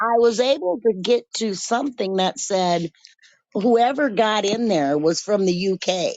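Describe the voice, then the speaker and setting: A woman speaks in an unremarkable speaking voice at medium pitch. Her intonation is lively. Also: fairly slow pace. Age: 60s. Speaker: caller and cat colony caretaker. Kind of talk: casual chat.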